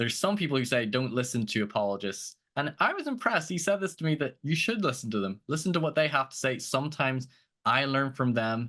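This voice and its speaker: Lively intonation carries a voice with a bright, sharp tone. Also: man, quiet background. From outside the United States. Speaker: podcast host, guest. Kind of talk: interview podcast.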